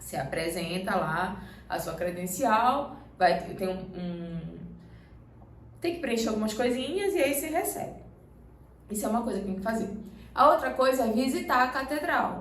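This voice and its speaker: A woman with a Pará accent, fairly high in pitch, at a moderate pace with very wide pitch swings and long, frequent pauses, amid noticeable background noise and audible room echo. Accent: Pará (paraense). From Brazil, Belém do Pará. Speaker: travel vlogger, pilgrim. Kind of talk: casual Q&A chat.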